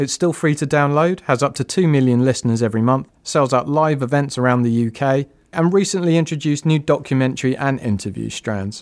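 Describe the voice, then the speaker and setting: A man with a British accent, fairly high in pitch and fairly quick, with very even loudness on a very clean recording with a silent background. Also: ordinary pitch variation, hardly any pauses. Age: 30s. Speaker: podcast producer. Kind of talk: scripted narration.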